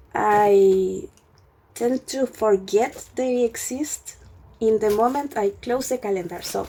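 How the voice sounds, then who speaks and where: The pace is very slow throughout. A non-native accent shapes the speech. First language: not English. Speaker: YouTuber, student. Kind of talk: casual unboxing vlog. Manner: halting, many fillers.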